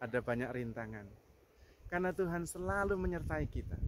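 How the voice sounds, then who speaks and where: Speaking at a fairly quick pace with a strong Javanese accent, the voice makes very wide pitch swings. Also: man. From Java, Indonesia. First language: Javanese (speaking Indonesian). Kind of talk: spiritual reflection.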